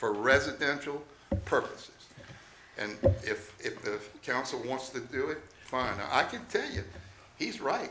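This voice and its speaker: A man speaks at a fairly slow pace with long, frequent pauses. Noticeable background noise and audible room echo fill the recording. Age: 70s. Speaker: RV park owner addressing town council. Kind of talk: public hearing testimony. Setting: town council meeting at city hall.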